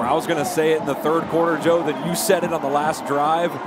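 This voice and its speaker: Over noticeable background noise, a man with a fairly high voice speaks very fast. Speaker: color commentator. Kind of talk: sports commentary analysis. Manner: animated, enthusiastic.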